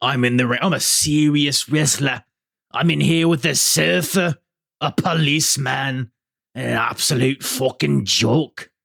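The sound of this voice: A man puts on a raspy character voice at a medium pitch. He keeps a moderate pace and very even loudness.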